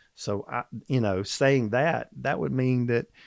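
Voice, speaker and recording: A man with a Southern US accent, medium pitch, ordinary pitch variation and a fairly slow pace, in a dry, close sound with no echo. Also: quiet background. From US South, Georgia (Atlanta). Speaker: supplement company executive. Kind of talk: casual interview chat.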